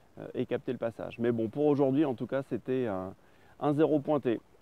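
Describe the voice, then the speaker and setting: This man speaks at a medium pitch. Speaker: spearfishing vlogger. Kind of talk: outdoor vlog narration. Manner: casual with many hesitations.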